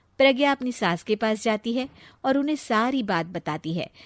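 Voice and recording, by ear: A woman with lively intonation in a dry, close sound with no echo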